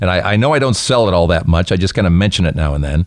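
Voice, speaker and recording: A man speaks with a very deep, low pitch. His intonation is lively. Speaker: podcast host. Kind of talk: casual chat; podcast outro. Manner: halting.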